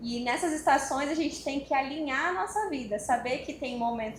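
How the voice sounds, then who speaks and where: A woman's voice, with normal pitch movement, is heard through clear background noise. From Cuiabá, Mato Grosso, Brazil. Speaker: psychologist. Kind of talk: panel talk at event.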